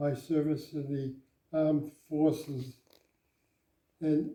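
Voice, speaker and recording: A man with a fairly high pitch and a dark, mellow tone speaks at a very slow pace with long, frequent pauses. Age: 90s. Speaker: war veteran. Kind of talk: interview. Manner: halting.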